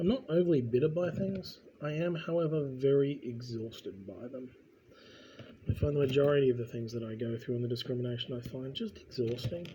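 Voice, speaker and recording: The speaker has a New Zealand accent and a somewhat breathy voice. The pace is fairly quick. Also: man, medium pitch for a man, ordinary pitch variation. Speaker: vlogger. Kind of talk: casual ramble while building. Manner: rambling, conversational.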